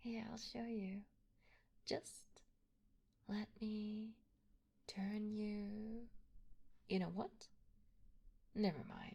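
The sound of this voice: A woman's put-on character voice, dark and mellow with vocal fry and a slightly husky edge, at a medium pitch with ordinary pitch variation, very slow and full of long, frequent pauses.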